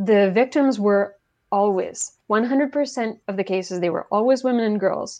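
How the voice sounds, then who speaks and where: A woman with a French Canadian accent speaks at a fairly high pitch, her dark, mellow tone carried by lively intonation. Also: quiet background. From Quebec, Canada. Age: 40s. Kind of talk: interview, explaining film analysis.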